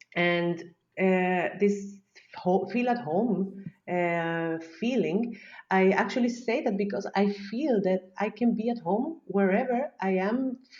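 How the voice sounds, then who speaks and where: In a Spanish accent, a woman speaks at a very slow pace and a medium pitch with ordinary pitch variation. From Chile. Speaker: psychologist. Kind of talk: podcast interview answer.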